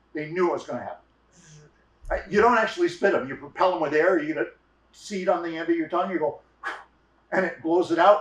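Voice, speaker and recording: The speaker is a man. His intonation is lively. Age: 60s. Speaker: storyteller. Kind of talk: storytelling.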